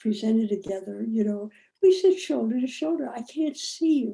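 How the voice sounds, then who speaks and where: A woman's dark, mellow voice, fairly high in pitch, at a moderate pace. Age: 80s+. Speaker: physician and storyteller. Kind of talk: dialogue talk on spirituality.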